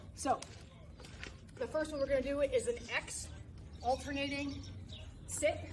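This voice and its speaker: A woman speaks at a moderate pace with long, frequent pauses. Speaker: fitness coach. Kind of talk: workout instruction. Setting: outdoors. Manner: casual.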